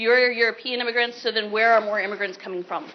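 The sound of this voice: The speaker moves at a fast pace with fairly even intonation. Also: woman, fairly high pitch for a woman.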